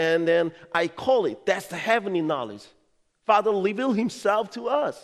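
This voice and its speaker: A man with a Korean accent speaks at a moderate pace in a high pitch with ordinary pitch variation. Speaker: pastor. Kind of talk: sermon. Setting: church.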